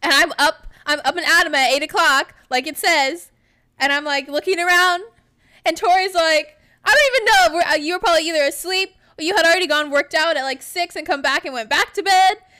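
A woman with an American accent talks at a fairly quick pace in an extremely high pitch, her raised, projected voice showing ordinary pitch variation. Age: 20s. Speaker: podcast co-host, former college golfer. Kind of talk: casual chat.

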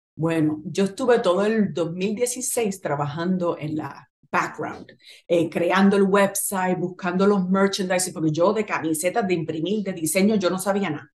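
In an ordinary speaking voice, a woman talks fairly slowly at a medium pitch with ordinary pitch variation. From Puerto Rico, Naranjito and Bayamón. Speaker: clothing business founder. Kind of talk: interview.

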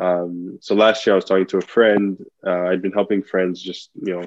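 Intonation stays monotone and flat. The pace is moderate, delivered with an American accent. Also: man. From Nigeria, then Belgium and US. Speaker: entrepreneur. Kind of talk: interview.

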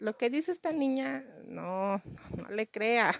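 In a very clean recording with a silent background, a woman speaks at a very slow pace, the sound dry and close with no echo. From Mexico City. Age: 40s. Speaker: comedian. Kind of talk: comedic monologue.

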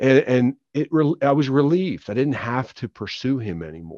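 The recording has a dry, close sound with no echo. A man with an American accent speaks at a medium pitch. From Philadelphia. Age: 50s. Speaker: author. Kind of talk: testimony. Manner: halting, frequent repetitions.

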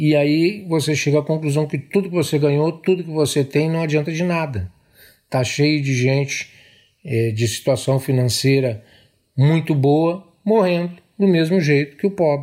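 A man with an unremarkable speaking voice, fairly high pitch and ordinary pitch variation, in a very clean recording with a silent background. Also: moderate pace. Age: 60s. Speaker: police officer. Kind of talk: testimony.

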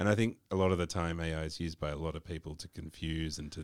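Speaking at a fairly quick pace with an Australian accent, a man uses a very deep, low pitch and monotone, flat intonation, recorded with a dry, close sound and no echo. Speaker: marketing podcast co-host. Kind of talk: casual chat.

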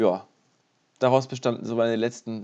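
A man's medium-pitched voice has a dark, mellow tone and monotone, flat intonation. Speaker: podcast co-host, university student. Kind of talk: casual chat.

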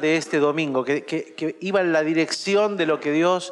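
A man speaks at a fairly slow pace in a high pitch, keeping his intonation fairly even. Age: 40s. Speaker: pastor. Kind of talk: sermon.

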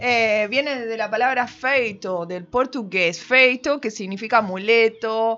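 Noticeable background noise sits behind a woman speaking. Her pitch is fairly high, with ordinary variation. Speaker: comedy radio show co-host. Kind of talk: casual chat.

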